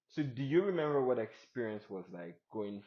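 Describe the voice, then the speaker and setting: Someone with a non-native accent talks at a moderate pace, using ordinary pitch variation. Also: man. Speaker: podcast host. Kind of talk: casual interview chat. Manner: hesitant, many fillers.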